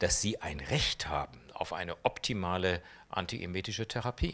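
The intonation is lively. Delivery is at a fairly slow pace. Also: man. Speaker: oncologist; interviewee. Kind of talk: interview. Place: hall. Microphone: handheld.

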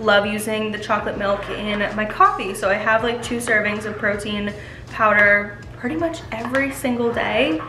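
Noticeable background noise sits behind a woman speaking at a moderate pace with fairly even intonation. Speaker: lifestyle vlogger. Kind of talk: casual vlog chat with product promotion. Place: kitchen. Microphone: camera far.

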